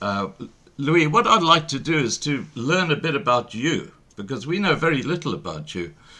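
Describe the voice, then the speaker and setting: Bright and sharp in tone, a man with a fairly high pitch swings very widely in pitch, using vocal fry at a moderate pace. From South Africa. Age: 60s. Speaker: online show host. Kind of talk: interview. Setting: live stream.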